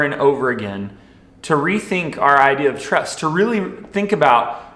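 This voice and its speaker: A man talks at a fairly slow pace. Audible room echo can be heard. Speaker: youth minister. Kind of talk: sermon. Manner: loud; casual.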